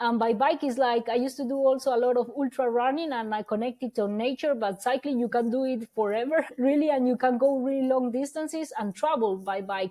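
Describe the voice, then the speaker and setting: A woman talks at a fairly quick pace and a high pitch, with ordinary pitch variation and hardly any pauses. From Colombia. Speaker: ultra-distance cyclist. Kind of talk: podcast interview. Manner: bubbly.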